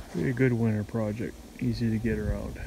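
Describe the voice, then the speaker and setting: Someone speaks at a fairly slow pace, the sound dry with no echo over noticeable background noise. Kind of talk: casual vlog chat. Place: open country. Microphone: phone near.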